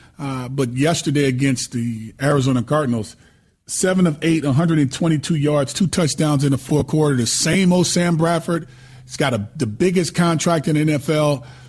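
Here a man talks at a moderate pace with ordinary pitch variation. His voice is somewhat breathy. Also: fairly high pitch for a man. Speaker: former quarterback and sports radio co-host. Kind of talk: sports talk show, casual analysis and banter.

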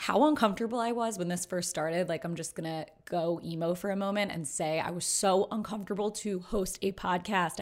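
A woman with an American accent, fairly low pitch and a fairly quick pace, on a very clean recording with a silent background. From Philadelphia, US. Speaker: podcast host, sports media producer. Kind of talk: casual interview chat; solo podcast outro. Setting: podcast recording. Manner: talkative.

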